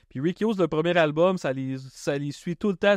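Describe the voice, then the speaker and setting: Against a quiet background, a man with a Quebec accent speaks at a high pitch. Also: dry, close sound with no echo. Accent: Québécois French. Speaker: comedian and podcast host. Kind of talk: podcast interview.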